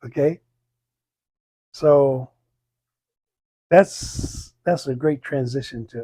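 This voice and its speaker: With an American accent and a dark, mellow tone, a man speaks in fairly even intonation. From Texas. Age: 80s+. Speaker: community elder. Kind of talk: oral history interview. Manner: halting.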